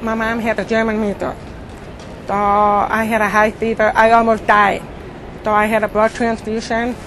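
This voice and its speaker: A woman speaks in a monotone, flat intonation. Long, frequent pauses break up her speech against noticeable background noise. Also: fairly high pitch for a woman, moderate pace. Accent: American. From Indiana, US Midwest. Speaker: cochlear implant user. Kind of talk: interview. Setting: conference. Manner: clearer since implant, people say.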